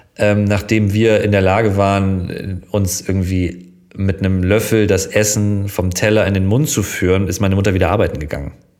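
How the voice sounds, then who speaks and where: Audible room echo colors a man's fairly low-pitched voice. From northern Germany, Schleswig-Holstein near Hamburg. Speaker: TV presenter. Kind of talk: casual chat. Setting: in a living room.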